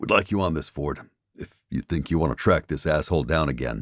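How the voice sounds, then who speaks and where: In a put-on character voice, a man speaks raspy and very deep at a fairly quick pace, in a very clean recording with a silent background and a dry, close sound with no echo. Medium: read story.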